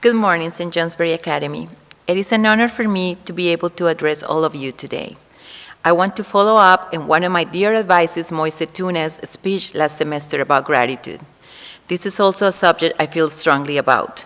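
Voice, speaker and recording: A woman's fairly low voice with a Spanish accent, ordinary pitch variation and a fairly quick pace. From Colombia. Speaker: Spanish teacher. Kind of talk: farewell speech at school assembly.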